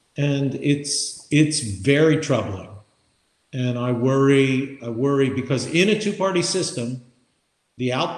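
A man talks in a normal speaking voice at a fairly slow pace. His pitch is fairly high, with ordinary pitch variation. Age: 60s. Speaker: podcast co-host. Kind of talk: casual chat. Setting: remote recording.

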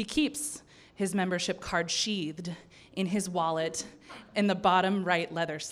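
A natural reading-aloud voice, intonation fairly even

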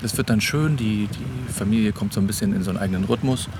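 A man's fairly low pitch with ordinary pitch variation, over noticeable background noise. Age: 30s. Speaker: podcast host, father of ten. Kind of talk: casual chat. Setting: on holiday on a Danish island.

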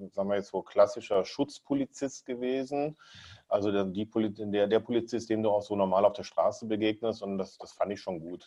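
A man's fairly low, dark, mellow voice at a moderate pace, with ordinary pitch variation and a quiet background. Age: 40s. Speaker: TV and event presenter, entrepreneur. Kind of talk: casual interview. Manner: hesitant, many fillers and repetitions.

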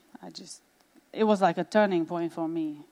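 With a Romanian accent, a woman with a fairly low pitch talks at a moderate pace and ordinary pitch variation. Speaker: pastor's wife. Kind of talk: testimony. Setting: church stage with audience.

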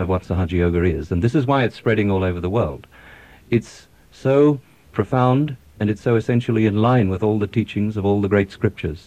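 A man with an Australian accent talks at a fairly quick pace in a fairly low, dark, mellow voice. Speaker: doctor. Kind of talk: radio interview. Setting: studio.

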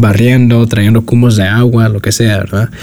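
A man at medium pitch with noticeable background noise. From US, New York (South Bronx). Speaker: designer and podcaster. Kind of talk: casual interview.

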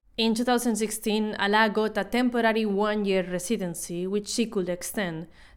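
On a very clean recording with a silent background, an unremarkable speaking voice carries ordinary pitch variation. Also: woman. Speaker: podcast narrator. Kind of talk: scripted narration.

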